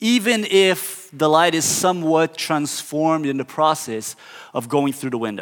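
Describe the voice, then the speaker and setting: Delivered at a fairly slow pace in a Portuguese accent, the speech has very wide pitch swings. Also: man. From southern Brazil. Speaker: pastor. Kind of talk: sermon.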